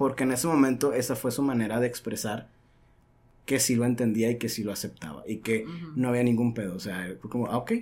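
A plain, everyday voice from a man, medium in pitch with ordinary pitch variation, at a fairly quick pace. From Mexico, Sonora (Caborca). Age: 30s. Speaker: podcast guest. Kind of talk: casual chat. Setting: studio.

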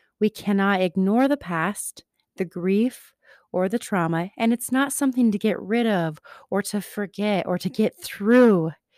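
In a normal speaking voice, a woman of medium pitch speaks at a fairly slow pace with ordinary pitch variation, on a very clean recording with a silent background and a dry, close sound with no echo. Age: 30s. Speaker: energy healing practitioner and podcast host. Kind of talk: solo spiritual talk. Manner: calm, reflective.

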